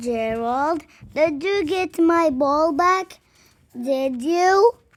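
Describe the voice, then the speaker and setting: Putting on a character voice, a woman speaks at a very slow pace with a high pitch. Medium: read story. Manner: excitable.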